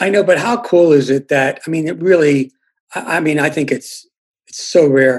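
Pitched fairly high, a man with an unremarkable speaking voice talks at a moderate pace with ordinary pitch variation. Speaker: journalist. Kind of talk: casual chat.

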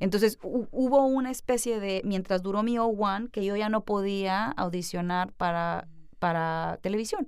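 On a very clean recording with a silent background, a woman with a plain, everyday voice speaks at a fairly slow pace and medium pitch, with ordinary pitch variation. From Mexico, Culiacán, Sinaloa. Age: young. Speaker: actress, comedian and producer. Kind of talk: interview conversation.

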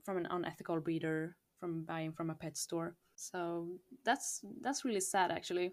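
The speaker talks at a moderate pace with a Swedish accent. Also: woman, fairly low pitch for a woman, ordinary pitch variation. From Sweden. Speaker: hamster breeder. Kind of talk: casual interview chat.

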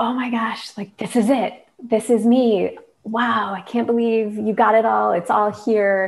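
A woman talks with an American accent at a fairly slow pace. Her pitch is fairly high, and her intonation is monotone and flat. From Michigan. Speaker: design consultant and founder, autoimmune patient. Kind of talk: casual interview chat.

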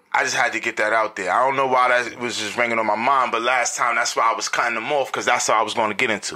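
A medium-pitched man in a New York accent, animated in tone, very fast with hardly any pauses, over noticeable background noise. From Harlem, New York City. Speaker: podcast host. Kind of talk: casual chat.

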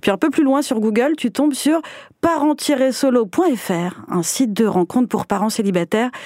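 Lively intonation and a moderate pace mark a woman's unremarkable speaking voice. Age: 30s. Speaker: podcast host. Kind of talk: casual chat; scripted narration.

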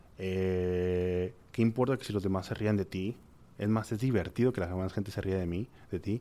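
Against a silent background in a very clean recording, a man speaks in a dark, mellow tone with ordinary pitch variation. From Monterrey, Mexico. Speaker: gastronomy entrepreneur and teacher. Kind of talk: interview. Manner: halting.

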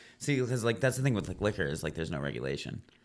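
This man's voice carries vocal fry. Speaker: rock band vocalist. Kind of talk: casual chat. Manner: animated.

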